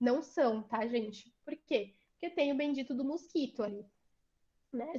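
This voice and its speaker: The woman speaking uses ordinary pitch variation. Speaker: vaccine researcher, lecturer. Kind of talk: online lecture. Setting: video call, screen sharing.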